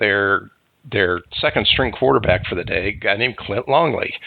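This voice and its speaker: This man has an American accent and a fairly low pitch. He speaks at a moderate pace. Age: 60s. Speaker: high school football podcast host. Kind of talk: sports talk podcast. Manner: halting, frequent fillers.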